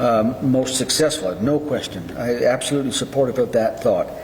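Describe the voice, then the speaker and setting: A man talks at a moderate pace with a fairly high pitch. Audible room echo and noticeable background noise are present. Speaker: mayor chairing city council. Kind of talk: council meeting discussion. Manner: halting, repeats words.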